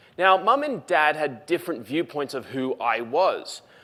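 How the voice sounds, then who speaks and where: Speaking at a moderate pace, a man with an Australian accent has a high pitch. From Australia, Lithgow NSW. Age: 20s. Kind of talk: public talk.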